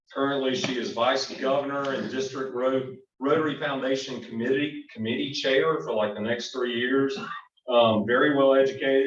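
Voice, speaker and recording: There is audible room echo as a man with a Southern US accent speaks at a moderate pace, medium in pitch with fairly even intonation. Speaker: club program speaker. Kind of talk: presentation at club meeting. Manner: casual, halting with fillers.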